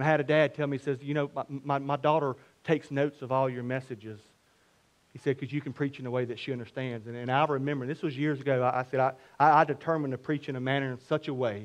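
Speaking at a very fast pace, a man uses a medium pitch and fairly even intonation. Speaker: preacher. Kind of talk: sermon. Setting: church. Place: church. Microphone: headset.

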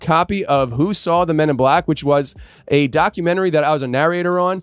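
Over a quiet background, a man speaks at a fairly quick pace with ordinary pitch variation, the sound dry with no echo. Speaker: podcast host. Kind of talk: podcast host announcements. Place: studio. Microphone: studio mic.

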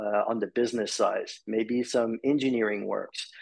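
With a Quebec accent, a man talks at a medium pitch. The background stays quiet. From Quebec, Montreal. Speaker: marketing executive; podcast guest. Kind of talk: interview. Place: home room. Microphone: video call.

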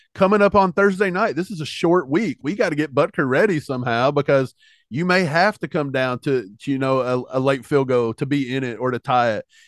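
The delivery is fairly quick, with lively intonation and hardly any pauses. The sound is dry with no echo, against a quiet background. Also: man, fairly high pitch for a man. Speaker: sports podcast co-host. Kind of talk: casual sports analysis chat. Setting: video recording, two hosts together. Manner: animated. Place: home room. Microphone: studio mic.

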